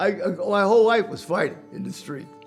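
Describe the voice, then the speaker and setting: Music plays in the background as a man speaks with a New York accent. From Manhattan, New York. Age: 80s+. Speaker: business owner. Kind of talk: interview answer.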